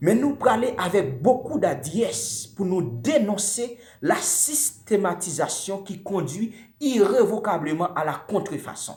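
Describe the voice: With few pauses, a man speaks in a high pitch with big pitch swings and a slightly mellow tone. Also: fairly slow pace.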